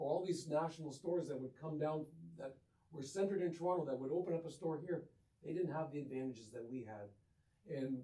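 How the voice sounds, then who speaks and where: Somewhat breathy and dark, mellow in tone, a man with a Canadian accent speaks at a fairly high pitch. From Windsor, Ontario, Canada. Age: 60s. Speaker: clothing store co-owner. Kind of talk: interview. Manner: animated.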